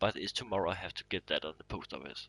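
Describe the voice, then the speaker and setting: A man with a bright, sharp tone is heard in a dry, close recording with no echo. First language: not English. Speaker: gaming streamer. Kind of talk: live gameplay commentary. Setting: live stream from console. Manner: halting, many fillers.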